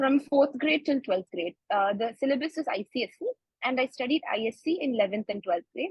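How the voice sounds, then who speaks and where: A woman with a Kannada accent talks at a fairly quick pace in a high pitch, her intonation lively. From India (Bangalore, Karnataka). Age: 20s. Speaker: medical student. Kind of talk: interview. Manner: halting, many fillers.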